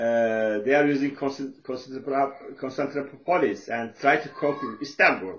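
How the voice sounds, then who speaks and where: This man has a Turkish accent and a fairly high pitch. He speaks at a fairly slow pace with ordinary pitch variation. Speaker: social worker and author. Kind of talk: lecture. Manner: halting, many fillers.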